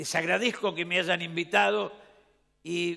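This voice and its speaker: A man's bright, sharp voice with vocal fry at a fairly slow pace. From Argentina. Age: 70s. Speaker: former politician and panel speaker. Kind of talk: conference speech. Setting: stage with audience.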